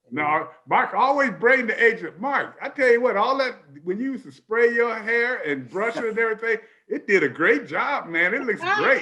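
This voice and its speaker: A man's raised, projected voice, extremely high in pitch, with lively intonation and big swings in loudness. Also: moderate pace. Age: 70s. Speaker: TV sports show host, former pro football player. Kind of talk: sports talk show.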